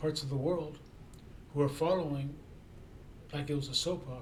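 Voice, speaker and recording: A man speaks in a space with audible room echo. Noticeable background noise is present. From Japan. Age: 60s. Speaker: freelance writer and YouTuber. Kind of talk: casual self-introduction monologue. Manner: halting, many repetitions and fillers.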